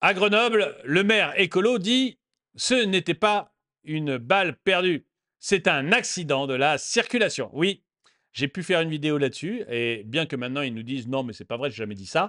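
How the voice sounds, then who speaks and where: A man speaks at a moderate pace in a fairly high voice with very wide pitch swings. The sound is dry and close with no echo, over a quiet background. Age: 50s. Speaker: political commentary YouTuber. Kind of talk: commentary monologue reacting to a news video. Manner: animated, repetitive emphasis.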